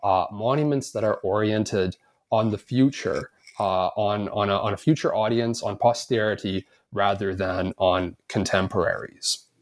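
At a fairly slow pace, a man talks in an ordinary speaking voice with medium pitch and ordinary pitch variation. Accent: Canadian. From Canada, Edmonton. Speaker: historian, author. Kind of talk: interview.

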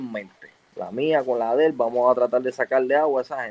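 A man with an unremarkable speaking voice speaks at a fairly high pitch, the sound dry and close with no echo. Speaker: retired baseball pitcher. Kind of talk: casual chat.

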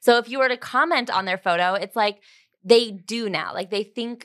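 A woman with a plain, everyday voice speaks at a fairly high pitch and fairly quick pace, the sound dry and close with no echo. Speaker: podcast host. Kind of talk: casual chat.

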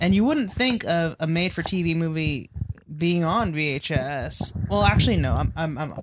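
Her pitch is very deep and low for a woman, and her pace is moderate. Noticeable noise runs in the background. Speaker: podcast co-host. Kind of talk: casual chat.

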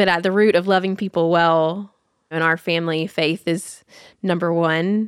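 A woman speaks with a Tennessee accent at a fairly low pitch. Her intonation is monotone and flat, and her loudness stays very even. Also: moderate pace. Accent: Southern US (Tennessee). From US South, Nashville, Tennessee. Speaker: nonprofit founder, mother. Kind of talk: casual interview chat. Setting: in person at their farm.

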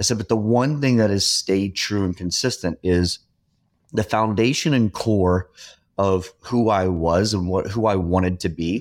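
Recorded very cleanly against a silent background, a man with a plain, everyday voice and fairly low pitch speaks at a fairly slow pace with ordinary pitch variation. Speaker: podcast host. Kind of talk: casual interview chat.

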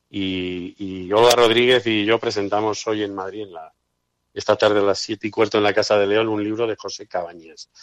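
At a moderate pace and with monotone, flat intonation, the speech sounds dry and close with no echo over a quiet background. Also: man, fairly low pitch for a man. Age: 50s. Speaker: historical memory activist. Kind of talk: radio interview. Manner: halting.

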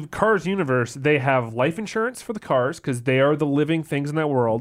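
A man with a Canadian accent talks at a moderate pace with lively intonation, in an unremarkable speaking voice. The recording is very clean, with a silent background. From Canada. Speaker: games journalist. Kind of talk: casual chat.

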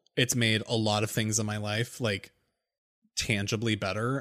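An ordinary speaking voice at a moderate pace comes through in a very clean recording with a silent background. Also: man. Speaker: podcast co-host. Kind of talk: casual chat.

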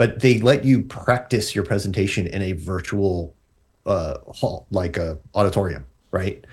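A man speaks fairly slowly at a fairly low pitch, with ordinary pitch variation and a somewhat breathy quality. The recording is very clean, with a silent background. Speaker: tech journalist. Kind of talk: casual chat.

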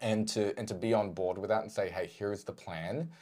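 The voice has an Australian accent and a dark, mellow tone. It moves at a moderate pace with ordinary pitch variation, in a very clean recording with a silent background. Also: man. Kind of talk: casual chat.

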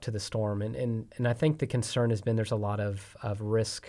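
A man speaks at a medium pitch on a very clean recording with a silent background. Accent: Texan. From Texas. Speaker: energy company executive. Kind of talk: interview.

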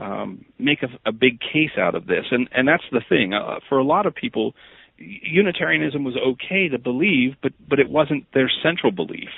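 Pitched in the medium range, this man's voice moves in very wide pitch swings. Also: moderate pace. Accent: American. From Pennsylvania, US. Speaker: history professor. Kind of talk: interview.

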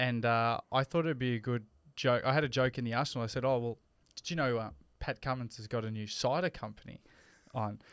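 An Australian-accented man speaks at a medium pitch and a fairly quick pace, with fairly even intonation. The recording is very clean and dry, close-miked with a silent background and no echo. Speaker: podcast co-host and radio personality. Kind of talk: casual chat.

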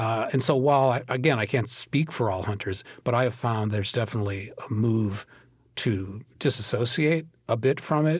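On a very clean recording with a silent background, a man with an American accent speaks at a fairly quick pace. His medium-pitched voice is somewhat breathy. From US Midwest, Minnesota. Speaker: historian and author. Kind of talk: interview.

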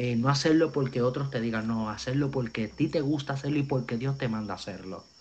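Over a quiet background, a man speaks at a fairly quick pace. His pitch is medium and varies in an ordinary way. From Puerto Rico. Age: 20s. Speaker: evangelist. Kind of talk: testimony. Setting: video call.

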